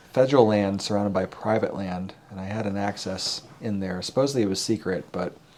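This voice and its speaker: Noticeable background noise behind a man with an American accent, a fairly low pitch and fairly even intonation, at a moderate pace. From US, Colorado. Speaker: hunter and photographer. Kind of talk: casual chat. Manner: halting.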